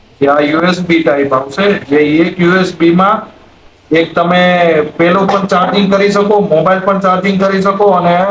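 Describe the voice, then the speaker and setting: Amid noticeable background noise and audible room echo, a man speaks in a high voice with fairly even intonation and very even loudness. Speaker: vlogger. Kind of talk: product review; casual vlog narration.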